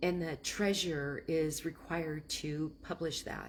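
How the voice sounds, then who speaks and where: Somewhat breathy, a woman speaks at a very deep, low pitch with monotone, flat intonation. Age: 60s. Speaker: land investor. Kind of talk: casual talk on investing. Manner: rambling, halting.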